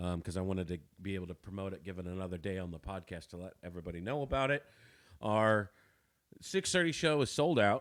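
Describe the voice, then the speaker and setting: Very deep and low in pitch, a man talks at a very fast pace with lively intonation and big swings in loudness on a very clean recording with a silent background. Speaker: comedian. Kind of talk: casual chat. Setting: studio. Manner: halting.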